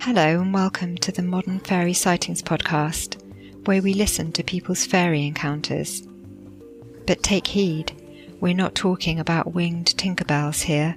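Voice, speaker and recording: A woman's fairly low-pitched voice at a fairly slow pace, with fairly even intonation and hardly any pauses, over music in the background. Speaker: podcast host. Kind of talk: podcast intro.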